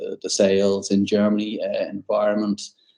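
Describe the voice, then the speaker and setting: In an Irish accent, a man delivers his words with a fairly low pitch, a dark, mellow tone and a monotone, flat intonation. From Ireland, Dublin. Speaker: tech sales executive. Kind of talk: podcast interview. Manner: hesitant, repetitive.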